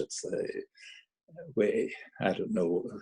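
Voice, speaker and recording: The speaker is a man. He talks in a Derry accent. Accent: Northern Irish (Derry). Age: 80s+. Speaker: amateur musical society president. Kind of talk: casual chat. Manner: halting.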